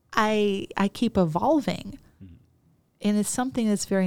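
A woman's dark, mellow voice in an American accent, at a moderate pace with ordinary pitch variation, on a very clean recording with a silent background. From US Midwest, Chicago. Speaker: business coach and psychologist. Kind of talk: interview conversation. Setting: studio.

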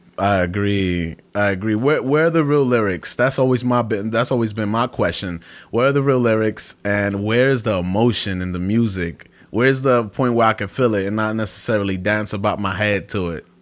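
A man with a New York accent talks at a fairly quick pace with a fairly low pitch. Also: ordinary pitch variation. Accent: New York City. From Brooklyn, New York. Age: 20s. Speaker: podcast host. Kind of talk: casual chat. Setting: home kitchen.

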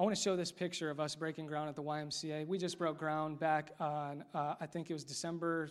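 On a very clean recording with a silent background, a man at fairly high pitch talks at a fairly quick pace with hardly any pauses. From US Midwest, Indiana. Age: 20s. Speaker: pastor. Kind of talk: sermon. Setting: church. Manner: animated.

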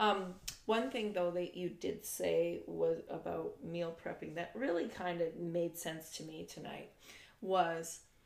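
In a room with audible echo, a woman speaks at a medium pitch with ordinary pitch variation. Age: 40s. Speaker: podcast host's mother. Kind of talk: casual chat.

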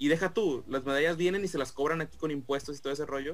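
Against music in the background, a man talks at a very fast pace with a fairly high pitch. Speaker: podcast co-host. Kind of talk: casual chat.

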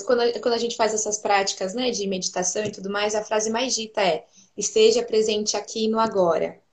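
A woman's moderately paced delivery, an unremarkable speaking voice, fairly high in pitch with normal pitch variation. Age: 20s. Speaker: pedagogue and preschool teacher. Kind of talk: casual chat.

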